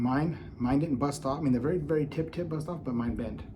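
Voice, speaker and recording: This man's voice sits fairly high and is somewhat breathy, with ordinary pitch variation. He speaks at a moderate pace, and room echo is audible. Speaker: knife reviewer. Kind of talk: product review. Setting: at home.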